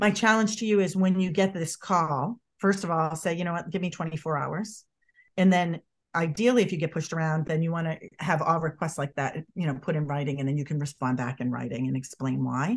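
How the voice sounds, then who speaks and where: Fairly low in pitch, a woman speaks with a Boston accent. She talks at a fairly quick pace against a quiet background. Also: ordinary pitch variation. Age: 50s. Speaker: body language expert. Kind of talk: interview. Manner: animated; rambling, digressive.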